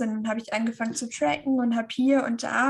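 The speaker is a woman with a fairly high pitch. Her intonation is fairly even. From northern Germany, Schleswig-Holstein. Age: 30s. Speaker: keto nutrition influencer. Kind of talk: interview.

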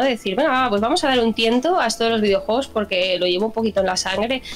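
Over noticeable background noise, a woman speaks at a very fast pace with hardly any pauses, a fairly high pitch, lively intonation and very even loudness. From Spain, Barcelona. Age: 30s. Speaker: gaming channel contributor. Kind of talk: casual interview.

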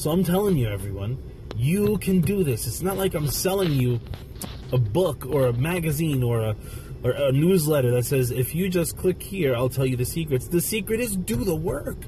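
Over noticeable background noise, a man with a fairly high voice talks at a moderate pace with an animated tone and lively intonation. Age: 30s. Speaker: meditation teacher and motivational podcaster. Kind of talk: motivational monologue.

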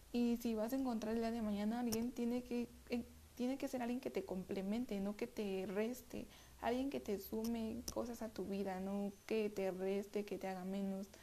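A woman speaks with a dark, mellow tone at a fairly high pitch, her intonation fairly even. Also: moderate pace. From Mexico City. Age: 20s. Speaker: podcast host. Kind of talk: self-help monologue. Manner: halting, many repetitions.

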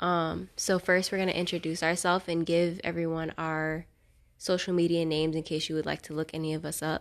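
A woman with an American accent, fairly low in pitch, fairly quick, and monotone and flat in intonation, over a quiet background. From Fort Pierce, Florida. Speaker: podcast host. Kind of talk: casual chat.

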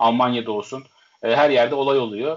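With an ordinary speaking voice, a man talks at a medium pitch and fairly even intonation. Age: 20s. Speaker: football coach. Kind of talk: casual chat.

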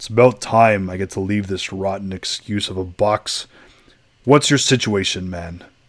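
Putting on a character voice, a man growls in a guttural way at a fairly low pitch and a moderate pace. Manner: gruff, impatient.

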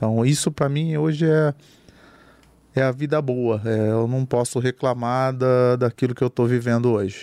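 Heard in a dry, close sound with no echo, a man with a dark, mellow tone speaks with fairly even intonation and very even loudness. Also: medium pitch for a man, moderate pace. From interior of Brazil. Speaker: craft brewery founder. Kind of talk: casual chat.

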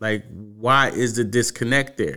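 A man at medium pitch with an American accent, bright and sharp in tone, fairly even in intonation, moderate in pace, on a very clean recording with a silent background. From Washington, D.C. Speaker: podcast host. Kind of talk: solo commentary. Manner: casual, with fillers.

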